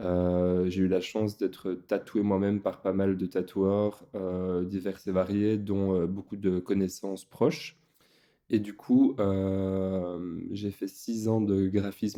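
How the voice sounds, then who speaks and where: Against a quiet background, a man with a dark, mellow tone speaks very slowly at a fairly low pitch with fairly even intonation. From Belgium. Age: 20s. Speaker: tattoo artist. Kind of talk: casual interview chat. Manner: hesitant, many fillers.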